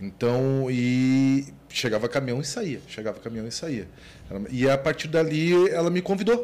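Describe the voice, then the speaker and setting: An ordinary speaking voice at a fairly slow pace, with lively intonation. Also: man, medium pitch for a man. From Porto Alegre, southern Brazil. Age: 40s. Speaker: business owner. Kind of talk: casual interview chat.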